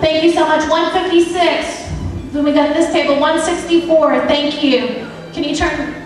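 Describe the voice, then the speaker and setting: Amid strong room echo and light background noise, a woman speaks at a moderate pace in an extremely high, monotone, flat voice. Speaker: charity auctioneer. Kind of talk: charity auction paddle-raise calling. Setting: live event room, microphone. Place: hall.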